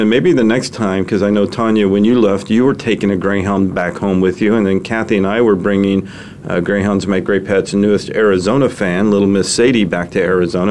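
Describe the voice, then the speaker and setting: A man's fairly low voice at a fairly quick pace, with hardly any pauses, fairly even intonation and very even loudness, against noticeable background noise. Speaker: radio show host. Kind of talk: casual interview, chatty.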